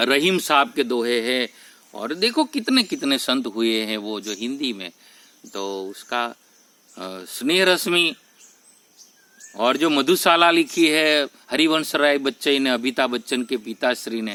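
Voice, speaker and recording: In a Gujarati accent, a man with a medium-pitched voice speaks with lively intonation and long, frequent pauses. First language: Gujarati (speaking Hindi). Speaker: spiritual YouTuber. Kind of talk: spiritual talk to camera. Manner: halting, with self-corrections.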